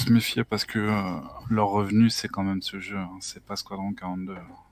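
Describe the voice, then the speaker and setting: In a dry sound with no echo, a man talks at a fairly low pitch with fairly even intonation. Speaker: gamer. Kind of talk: casual chat. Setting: video call. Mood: relaxed, amused. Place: home room. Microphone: headset.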